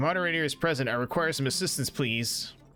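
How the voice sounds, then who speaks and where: A man puts on a raspy character voice, fairly high in pitch with ordinary pitch variation. He talks very fast with big swings in loudness as music plays behind him. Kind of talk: formal, polite.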